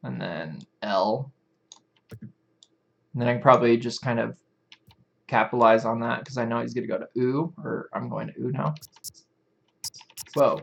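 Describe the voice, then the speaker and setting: Mumbling with vocal fry, a man talks at a moderate pace and medium pitch. His pitch varies in an ordinary way, and he leaves long, frequent pauses. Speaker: animation tutorial streamer. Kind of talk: live stream tutorial. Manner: casual conversational.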